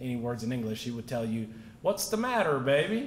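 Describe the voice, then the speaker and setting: A man speaks at a medium pitch. There is audible echo in the room. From Naples, Italy, then Texas from age 13. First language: Italian. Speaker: real estate entrepreneur, award recipient. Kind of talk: acceptance speech.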